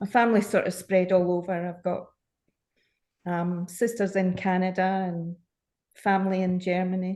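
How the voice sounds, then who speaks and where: A woman with a dark, mellow tone speaks in a flat monotone, leaving long, frequent pauses against a quiet background. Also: medium pitch for a woman, moderate pace. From Scotland, Glasgow. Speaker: knitting call participant. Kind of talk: casual chat. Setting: video call.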